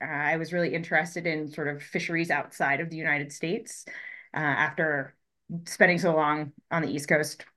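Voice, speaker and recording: Against a quiet background, the speaker delivers a bright, sharp tone at a fairly quick pace in a monotone, flat intonation. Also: woman, very deep, low pitch for a woman. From Colorado, US. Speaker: fisheries ecologist. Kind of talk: interview.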